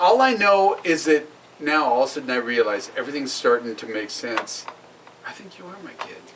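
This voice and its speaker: A man speaks at a fairly quick pace with an American accent, his fairly high pitch making very wide swings. His loudness swings a lot, and there is noticeable background noise. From Oregon, US. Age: 50s. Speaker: podcast co-host. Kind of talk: casual chat.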